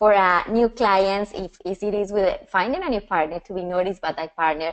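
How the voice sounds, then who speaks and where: A woman speaks with a strong Colombian accent at a medium pitch. Her pace is fairly quick. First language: Spanish. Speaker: personal branding and style coach. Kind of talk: webinar presentation. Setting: online webinar. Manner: passionate, sometimes fast.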